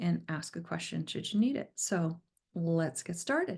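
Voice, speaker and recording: A woman's somewhat breathy, fairly slow voice against a quiet background. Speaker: executive director of a genealogy institute. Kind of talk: webinar talk to students. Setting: Zoom video call. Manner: conversational.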